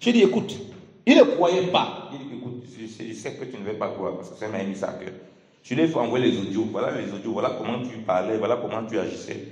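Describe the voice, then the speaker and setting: A man at medium pitch talks at a fairly quick pace with lively intonation and big swings in loudness, amid audible room echo and noticeable background noise. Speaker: preacher. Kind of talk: sermon. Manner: halting.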